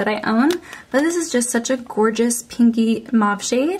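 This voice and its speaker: Noticeable background noise under a fairly high female voice. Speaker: beauty vlogger. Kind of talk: casual chat. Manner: friendly, conversational.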